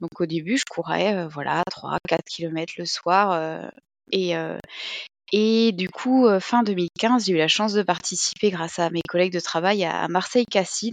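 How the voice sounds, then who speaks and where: The sound is dry and close with no echo as a woman speaks at a medium pitch and fairly slow pace with ordinary pitch variation. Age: 30s. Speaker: amateur trail runner. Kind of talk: casual interview. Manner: hesitant, many fillers.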